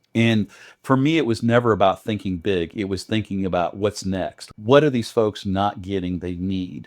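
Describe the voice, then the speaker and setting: Against a quiet background, a man speaks at a moderate pace. His pitch is fairly low, with ordinary variation. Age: 60s. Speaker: charity founder. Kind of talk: interview. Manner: halting.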